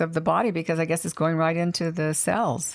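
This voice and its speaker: At a fairly quick pace, a woman talks in an unremarkable speaking voice. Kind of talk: radio show promo and sign-off read. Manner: upbeat, promotional.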